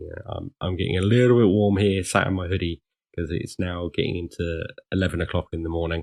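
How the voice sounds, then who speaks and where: In a British accent, a man talks fairly quickly with a very deep, low pitch and fairly even intonation. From England. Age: 40s. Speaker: security consultant / ethical hacker. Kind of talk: podcast interview. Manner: hesitant, many fillers.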